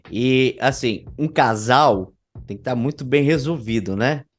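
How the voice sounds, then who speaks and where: A man talks at a very slow pace, his medium pitch showing ordinary variation. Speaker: podcast host. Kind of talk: casual interview.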